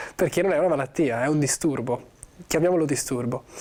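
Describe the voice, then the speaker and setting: The speaker is a man with a fairly high pitch. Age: 20s. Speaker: actor. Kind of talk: interview. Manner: halting.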